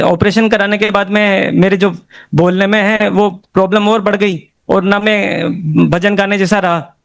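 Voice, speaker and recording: The speaker is a man with a high pitch. His intonation stays fairly even. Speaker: devotee giving testimony. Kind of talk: testimony.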